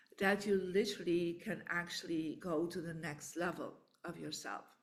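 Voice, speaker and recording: A woman speaks at a very slow pace with ordinary pitch variation. Audible room echo surrounds her voice. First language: not English; English is third language. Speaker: feng shui teacher and author. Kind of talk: online book launch talk. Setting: online live event.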